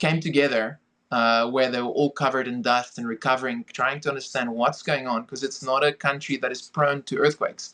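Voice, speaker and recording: A man speaks with a South African accent. His pitch varies in an ordinary way against a quiet background. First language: Afrikaans. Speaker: film director and producer. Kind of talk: podcast interview.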